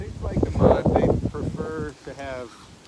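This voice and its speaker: A man speaks fairly slowly, his voice carrying audible room echo amid noticeable background noise. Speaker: pig farmer. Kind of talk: casual farm tour interview. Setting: outdoors on a farm. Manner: hesitant, many fillers; quiet.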